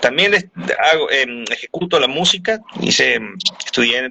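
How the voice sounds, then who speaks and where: This man's pitch swings very widely as he speaks. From Venezuela. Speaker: voice actor. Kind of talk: interview answer.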